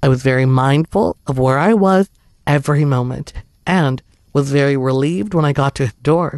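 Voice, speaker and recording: A man speaks at a fairly high pitch and a moderate pace, with ordinary pitch variation, in an unremarkable speaking voice. The sound is dry and close, with no echo. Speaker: horror story narrator. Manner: steady, hushed suspenseful storytelling pace.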